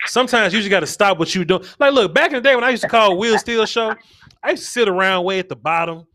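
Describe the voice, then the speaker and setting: Speaking at a very fast pace in a raised, projected voice, a man sounds bright and sharp with an animated tone, on a very clean recording with a silent background. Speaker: sports talk host. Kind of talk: live sports talk stream.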